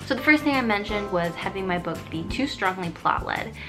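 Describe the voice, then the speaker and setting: A woman's medium-pitched voice at a moderate pace, lively in intonation, with music in the background. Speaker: writer. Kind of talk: casual talk to camera. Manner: some stuttering.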